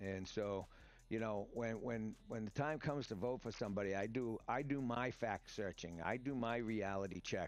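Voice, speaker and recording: This is a man with a medium-pitched voice. His pitch varies in an ordinary way. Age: 60s. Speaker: podcaster and gamer. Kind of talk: live stream commentary. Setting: live stream on camera. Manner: fast; animated.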